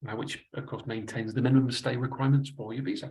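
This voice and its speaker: At a very fast pace, a man with a Manchester accent speaks in a somewhat breathy, fairly high voice. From northern England, Manchester. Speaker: investment adviser. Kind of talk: webinar presentation. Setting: online webinar.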